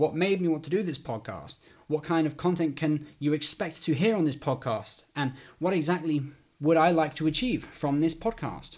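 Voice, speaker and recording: Speaking at a moderate pace with a British accent, a man has a fairly high pitch and ordinary pitch variation in a very clean recording with a silent background. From United Kingdom. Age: 20s. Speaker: podcast host, theology student. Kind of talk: solo podcast monologue.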